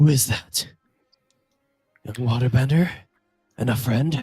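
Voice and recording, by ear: In a booming, put-on character voice of medium pitch, a man speaks at a fairly slow pace.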